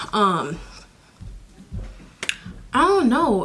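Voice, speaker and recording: Speaking at a very slow pace, a woman is heard over noticeable background noise. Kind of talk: storytime, casual talk to camera. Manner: animated, conversational.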